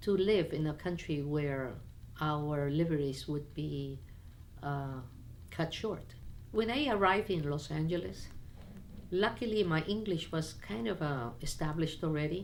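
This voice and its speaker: A woman with a very deep, low pitch speaks at a fairly slow pace with lively intonation and long, frequent pauses, and audible room echo surrounds her voice. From Peru, Lima, to Chinese parents. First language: Spanish and Chinese. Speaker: businesswoman. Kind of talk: personal interview. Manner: halting, frequent restarts.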